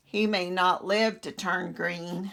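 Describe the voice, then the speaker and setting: A woman uses a put-on character voice with a rumbling quality. Her medium pitch stays monotone and flat. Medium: read story. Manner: grumbling, groaning.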